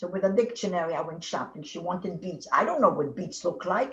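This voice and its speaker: With a slight non-native accent, the speaker talks at a fairly quick pace. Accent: slight foreign. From learned English in New Orleans.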